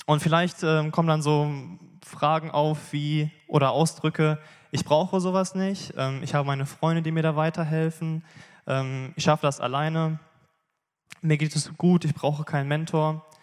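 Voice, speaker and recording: At a moderate pace, a man with a fairly high pitch speaks in a flat monotone, leaving long, frequent pauses. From Bielefeld area, Germany. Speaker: church member giving testimony. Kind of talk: sermon testimony. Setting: church stage.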